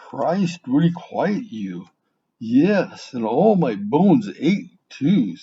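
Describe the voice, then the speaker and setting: Using a put-on character voice, a man speaks very slowly at a high pitch with very wide pitch swings. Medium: read story.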